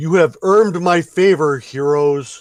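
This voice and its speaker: Using a put-on character voice, a man talks at a fairly slow pace and a fairly high pitch. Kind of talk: formal, archaic.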